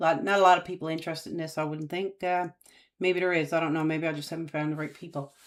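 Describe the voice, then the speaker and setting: A woman with a Newfoundland accent. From Newfoundland, Canada. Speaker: YouTuber, aspiring data analyst. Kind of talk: casual live-stream chat. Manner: hesitant, many fillers.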